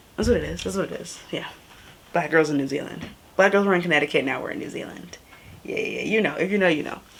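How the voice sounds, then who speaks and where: A woman with an American accent talks very fast in an animated tone, her loudness swinging widely, with noticeable background noise and audible room echo. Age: young. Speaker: travel vlogger. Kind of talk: casual vlog talk. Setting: Airbnb room, then outdoors.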